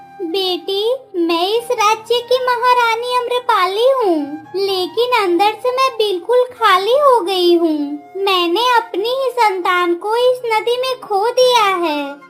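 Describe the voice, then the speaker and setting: A female-sounding put-on character voice, pitched extremely high. She speaks fairly slowly over clear background music. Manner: sorrowful, hollow.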